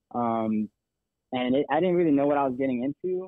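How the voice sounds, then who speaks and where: A man talks fairly quickly. He has a normal speaking voice at medium pitch. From Texas. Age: 20s. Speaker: army veteran turned real estate agent. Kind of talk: casual interview. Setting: phone call.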